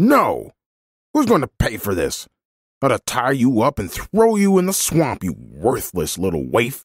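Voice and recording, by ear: A man shouts in a put-on character voice at a medium pitch, swinging very widely up and down with a slightly husky edge and a fairly slow pace. The recording is very clean and dry, with a silent background and close sound with no echo.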